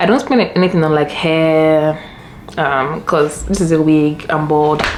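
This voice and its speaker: A woman speaks with a Nigerian accent in a very deep, low voice. Noticeable background noise sits behind her. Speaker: lifestyle vlogger. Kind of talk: casual vlog talk. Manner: fast.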